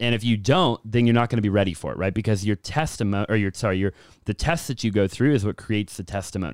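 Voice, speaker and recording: In a very clean recording with a silent background, a man talks at a very fast pace with a fairly low pitch and ordinary pitch variation. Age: 20s. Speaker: entrepreneur and real estate investor. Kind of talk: casual chat.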